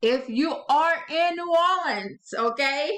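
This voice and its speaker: This woman has a strong Southern US accent. Her intonation is lively. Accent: thick Southern. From US South, Louisiana. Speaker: author and channel host. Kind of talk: casual talk to camera. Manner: expressive; hesitant with fillers.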